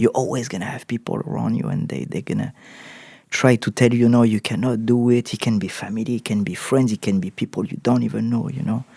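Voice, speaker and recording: A man with a French accent speaks at a very fast pace, at medium pitch with ordinary pitch variation. His tone is dark and mellow, and the sound is dry and close with no echo. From southern France. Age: 30s. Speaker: actor. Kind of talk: interview. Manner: halting, many repetitions.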